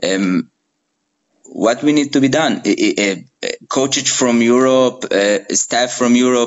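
Speaking with an Israeli accent at a fairly slow pace, a man keeps a medium pitch with ordinary variation and very even loudness, leaving long, frequent pauses. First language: Hebrew. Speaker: podcast host. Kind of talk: interview. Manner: hesitant, many fillers.

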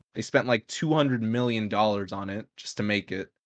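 This man has an ordinary speaking voice, medium in pitch, with an American accent. He talks at a fairly quick pace, and the sound is dry and close with no echo. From California. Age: 20s. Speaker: podcast co-host, college student. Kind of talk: casual chat. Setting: live stream.

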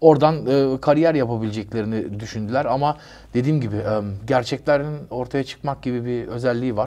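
A man at a medium pitch and fairly quick pace, with a dark, mellow tone and fairly even intonation. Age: 50s. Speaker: rapper. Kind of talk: interview.

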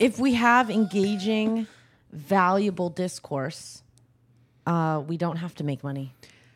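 A normal speaking voice at a fairly slow pace with lively intonation. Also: woman, medium pitch for a woman. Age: 20s. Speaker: podcast guest. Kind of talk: casual chat.

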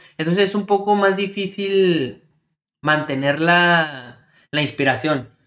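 The recording is very clean with a silent background, capturing a man with a bright, sharp tone. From El Paso / Ciudad Juárez border. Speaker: podcast co-host. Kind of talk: casual chat.

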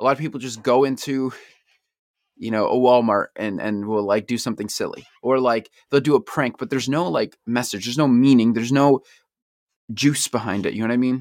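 On a very clean recording with a silent background, a man in an ordinary speaking voice talks at a fairly quick pace and medium pitch with ordinary pitch variation, the sound dry and close with no echo. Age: 20s. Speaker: podcast host and communications student. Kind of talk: solo podcast monologue. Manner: casual, with frequent fillers.

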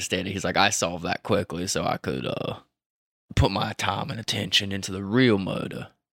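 A man speaks in a playful tone at a fairly low pitch, with vocal fry and a moderate pace. The sound is dry and close, with no echo. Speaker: podcast host. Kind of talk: casual chat. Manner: joking, playful.

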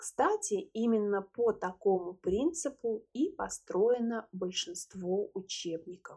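Over a quiet background, a somewhat breathy voice moves at a very slow pace with lively intonation and hardly any pauses. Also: woman, fairly high pitch for a woman. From Russia, Moscow. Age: 30s. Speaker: podcast host, language teacher. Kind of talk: language-learner podcast monologue. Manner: clear, measured for learners.

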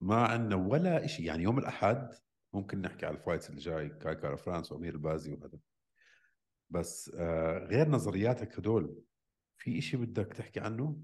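A man's fairly low voice at a moderate pace, with very wide pitch swings. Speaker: podcast co-host discussing MMA. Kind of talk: casual banter, heated debate. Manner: animated, loud, teasing.

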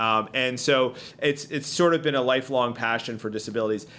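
This man speaks with a Philadelphia accent at a fairly quick pace. His pitch is medium, with ordinary variation. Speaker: state legislator. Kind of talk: casual interview chat. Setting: studio.

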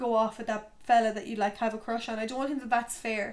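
A woman speaks at a very fast pace. Her pitch is fairly high and her intonation is monotone and flat. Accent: Irish. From Ireland, County Tipperary. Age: 20s. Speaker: podcast host. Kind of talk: casual solo talk. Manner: chatty, filler-heavy.

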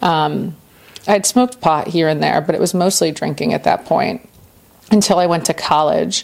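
Noticeable background noise sits behind a woman with an American accent who speaks at a moderate pace in a fairly low pitch with ordinary pitch variation. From US South, Central Florida. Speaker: person in addiction recovery. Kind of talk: testimony.

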